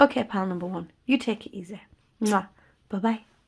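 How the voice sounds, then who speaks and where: With a Yorkshire accent, a woman speaks at a moderate pace in a warm tone that is somewhat breathy. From Yorkshire, England. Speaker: tarot reader. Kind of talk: tarot reading to camera. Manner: casual, warm.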